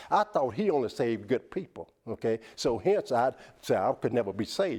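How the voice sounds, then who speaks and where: With very wide pitch swings, a man in a Southern US accent speaks with a dry, close sound and no echo. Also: medium pitch for a man, fairly quick pace. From US South. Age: 60s. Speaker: motivational speaker. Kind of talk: TV interview; testimony. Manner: preacher-like.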